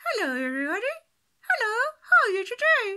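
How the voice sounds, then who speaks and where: A put-on character voice at extremely high pitch, fairly quick, with very wide pitch swings. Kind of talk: friendly, for children. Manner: speaking without moving the lips.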